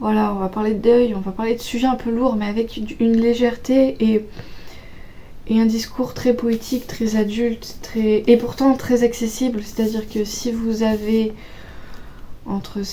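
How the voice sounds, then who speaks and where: Delivery is fairly slow and flat, with a monotone intonation. Long pauses come often over noticeable background noise. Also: woman. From Auvergne, France. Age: 20s. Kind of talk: casual book talk to camera.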